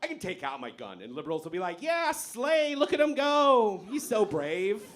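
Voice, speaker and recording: A man's voice with audible room echo. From born in Iran, grew up in America from age eight. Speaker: stand-up comedian. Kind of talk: stand-up. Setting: stage with audience.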